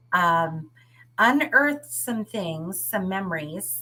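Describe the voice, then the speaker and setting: The tone is bright and sharp, with very wide pitch swings. The pace is fairly slow. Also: woman. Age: 60s. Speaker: author, retired teacher. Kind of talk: interview.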